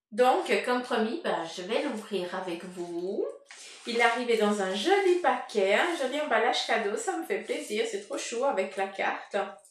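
The room echo is clearly audible. A woman talks at a fairly slow pace. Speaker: card reader. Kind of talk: casual vlog chat. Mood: happy, laughing. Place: office.

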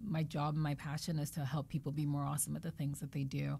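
A woman speaks with a very deep, low pitch. Her tone is dark and mellow, and somewhat breathy. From Nigeria and Zambia, with years in the US. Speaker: patient advocate; podcast guest. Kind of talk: interview, personal testimony. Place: studio. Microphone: studio mic.

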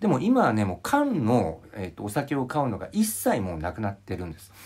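This man's voice comes across somewhat breathy. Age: 50s. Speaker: psychological counselor and vlogger; vlogger. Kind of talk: casual monologue vlog. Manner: rambling with many fillers. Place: home room. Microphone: phone near.

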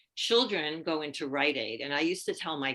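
In a very clean recording with a silent background, a woman speaks with a bright, sharp tone at a very deep, low pitch. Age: 70s. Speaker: resident speaking at public comment. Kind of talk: public comment at council meeting.

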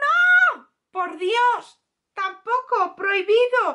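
A woman with an extremely high pitch and a bright, sharp tone uses a raised, projected voice with very wide pitch swings. The background is quiet. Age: 30s. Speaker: YouTuber, tarot teacher. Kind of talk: tutorial. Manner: animated. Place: home room. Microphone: webcam.

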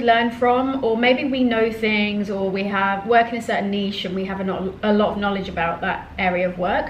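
A woman at a fairly quick pace, with audible room echo and light background noise. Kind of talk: casual vlog chat. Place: home room. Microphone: phone near.

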